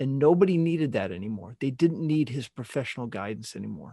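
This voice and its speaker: Here is an unremarkable speaking voice with an American accent and lively intonation at a fairly quick pace. The recording is very clean with a silent background and a dry, close sound with no echo. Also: man. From US Pacific Northwest (Seattle). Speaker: financial planning podcast host. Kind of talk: solo podcast monologue.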